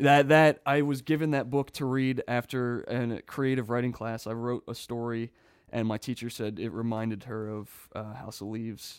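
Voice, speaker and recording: In a normal speaking voice, a man at medium pitch talks at a moderate pace with fairly even intonation and hardly any pauses. The recording is very clean, with a silent background. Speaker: audio engineer. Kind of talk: casual chat.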